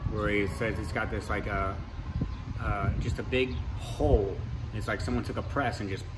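A man at a moderate pace amid noticeable background noise. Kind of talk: casual vlog chat. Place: bus. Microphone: phone near.

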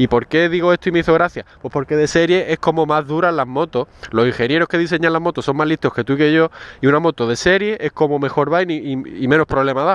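This man talks very fast in a fairly high voice with ordinary pitch variation. The sound is dry with no echo. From Spain. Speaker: motorcycle mechanics youtuber. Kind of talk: tutorial. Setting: in a car. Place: street. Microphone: phone near.

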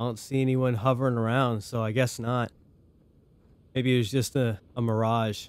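Moderate pace, monotone, flat intonation, and long pauses that come often. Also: man, medium pitch for a man. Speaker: gaming YouTuber. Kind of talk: let's play gameplay commentary. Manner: quiet, low-energy.

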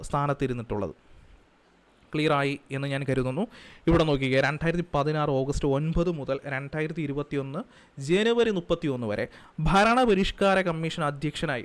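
Ordinary pitch variation marks a man's fairly high-pitched voice. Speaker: exam coaching teacher. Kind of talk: lecture. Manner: repetitive, emphatic.

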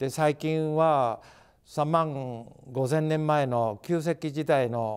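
A man with a fairly high pitch speaks very slowly in fairly even intonation against a quiet background. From Japan, Nagano (Saku); Nagano, Japan. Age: 80s+. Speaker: artist. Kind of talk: interview. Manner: halting. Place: hall. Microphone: lapel.

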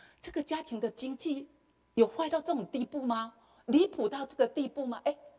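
A woman speaks in a Taiwanese accent at a moderate pace. Her high pitch swings very widely. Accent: Taiwanese Mandarin. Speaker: retired school principal; speaker. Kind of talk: testimony. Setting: temple hall with audience. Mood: emotional recollection of hardships. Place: hall. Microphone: handheld.

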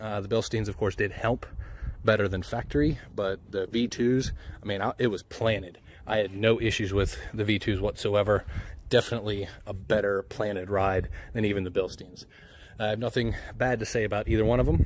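A man with a plain, everyday voice and fairly low pitch talks at a fairly quick pace with fairly even intonation. The sound is dry with no echo, and there is light background noise. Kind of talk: casual vlog chat. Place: street. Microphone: phone near.

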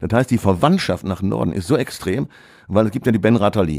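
A man with a fairly low, dark, mellow voice and vocal fry speaks at a fairly quick pace with lively intonation. The recording is very clean, with a silent background. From Ruhr area, Essen. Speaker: author and retired teacher. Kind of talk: casual interview.

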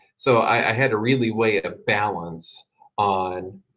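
Speaking with an American accent, a man uses lively intonation at a medium pitch. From US Midwest, Indianapolis; Indiana. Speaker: guest. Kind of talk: talk to an online audience. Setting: video call. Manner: talks too fast sometimes. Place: home room. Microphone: webcam.

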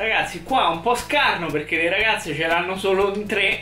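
A man talks in a raised, projected voice. There is audible room echo and faint music in the background. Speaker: gaming youtuber. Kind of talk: casual gaming commentary. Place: home room.

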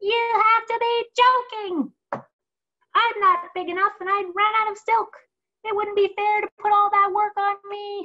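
Put-on character voice from a woman, pitched extremely high and fairly slow. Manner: protesting, modest.

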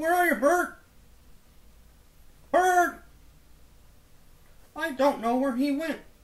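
A put-on character voice at a high pitch moves at a fairly slow pace with long, frequent pauses.

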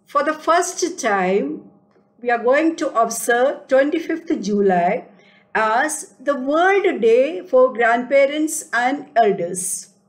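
Against a quiet background, a woman with a high pitch speaks at a very slow pace with very wide pitch swings. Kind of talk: formal introduction address. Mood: warm, earnest. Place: home room. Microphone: webcam.

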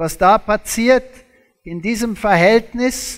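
Against a quiet background, a man speaks very slowly in a high voice with a non-native accent. His intonation is lively. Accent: foreign, non-native German. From South Africa. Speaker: creationist lecturer, former zoology professor. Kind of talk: lecture. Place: stage.

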